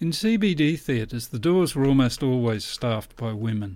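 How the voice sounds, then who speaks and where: With an Australian accent, a man of medium pitch talks at a moderate pace with ordinary pitch variation, recorded very cleanly against a silent background. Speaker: author and historian. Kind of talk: scripted narration.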